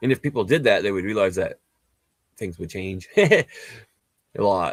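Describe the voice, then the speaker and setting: An ordinary speaking voice from a man, fairly quick and lively in intonation, on a very clean recording with a silent background. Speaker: spiritual healer. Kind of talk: casual chat. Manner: rambling fast speech with many fillers.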